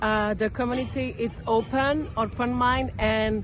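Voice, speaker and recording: A woman with a French accent speaks at a fairly slow pace amid noticeable background noise and audible room echo. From France. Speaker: local resident interviewee. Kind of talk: street interview. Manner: halting.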